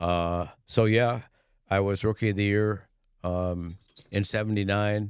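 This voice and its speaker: Speaking fairly slowly with long, frequent pauses, a man keeps a fairly low, monotone, flat delivery on a very clean recording with a silent background. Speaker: former race car driver and company CEO. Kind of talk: interview conversation. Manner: hesitant, many fillers.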